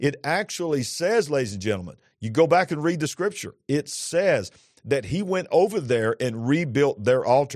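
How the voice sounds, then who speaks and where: The speaker's tone is animated, with very wide pitch swings at a moderate pace. The background is quiet. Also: man, fairly high pitch for a man. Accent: Southern US. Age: 50s. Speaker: pastor. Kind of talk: religious talk show conversation. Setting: studio.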